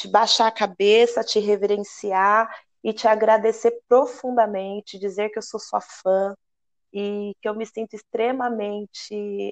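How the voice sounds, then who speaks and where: An unremarkable speaking voice with fairly even intonation is recorded dry and close with no echo, against a quiet background. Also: woman. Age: 30s. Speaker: radio host and samba flag-bearer dancer. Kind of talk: radio interview.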